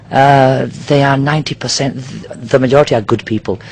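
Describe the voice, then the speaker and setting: A man speaks with a British accent in a fairly high voice. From Nigeria, British expatriate family. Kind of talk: interview. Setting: outdoors on a yacht in a marina.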